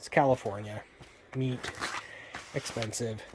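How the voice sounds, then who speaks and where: Moderate pace against noticeable background noise. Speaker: vlogger. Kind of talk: casual vlog. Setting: outdoors at night. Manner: halting, many fillers; soft-spoken, quiet.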